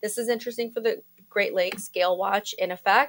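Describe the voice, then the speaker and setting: A woman speaks loudly in a bright, sharp tone. The recording is very clean, with a silent background. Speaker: meteorologist. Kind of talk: weather forecast. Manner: casual, chatty.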